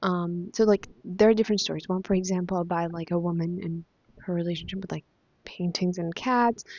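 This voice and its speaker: A woman's fairly low-pitched voice at a fairly quick pace. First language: Spanish. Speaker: book vlogger. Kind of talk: casual chat. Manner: animated; hesitant, many fillers.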